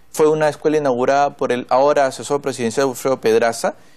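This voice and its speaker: Fairly high in pitch, a man talks at a fairly quick pace with fairly even intonation. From northern Peru. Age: 30s. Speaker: congressman; politician guest. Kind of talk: TV interview. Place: studio. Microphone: lapel.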